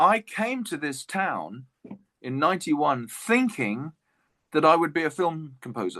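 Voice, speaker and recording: With an English accent, a man speaks at a moderate pace in a fairly high, bright, sharp voice with very wide pitch swings, the sound dry and close with no echo over a quiet background. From England. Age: 60s. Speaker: jazz guitarist. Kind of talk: interview.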